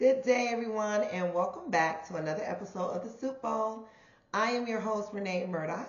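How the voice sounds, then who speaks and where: A woman speaks with lively intonation. The recording has noticeable background noise and audible room echo. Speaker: podcast host. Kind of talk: casual monologue podcast.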